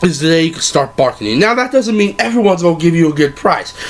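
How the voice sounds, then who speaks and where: Over noticeable background noise, a man with a high pitch speaks fairly quickly, his pitch swinging very widely. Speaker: anime vlogger. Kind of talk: casual advice vlog.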